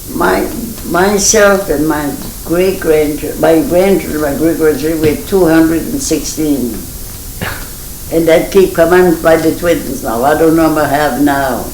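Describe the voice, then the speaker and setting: Noticeable background noise under a fairly slow voice with a Maine Acadian accent. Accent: Franco-American (Maine Acadian) English. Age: 80s+. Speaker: centenarian interviewee. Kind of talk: oral history interview. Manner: halting.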